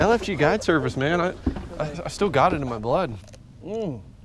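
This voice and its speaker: With a Southern US accent, this speaker uses an animated tone and very wide pitch swings at a moderate pace, in a dry sound with no echo and noticeable background noise. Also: man, long, frequent pauses. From US South. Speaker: fishing vlogger; angler vlogger. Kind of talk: casual outdoor vlog commentary. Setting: on a boat outdoors. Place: boat. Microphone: phone near.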